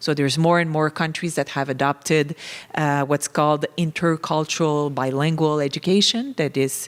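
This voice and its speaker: With a French Canadian accent, a woman speaks at a very deep, low pitch. Her loudness stays very even. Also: fairly even intonation, moderate pace. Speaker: professor. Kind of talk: conference panel talk. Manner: halting, many fillers.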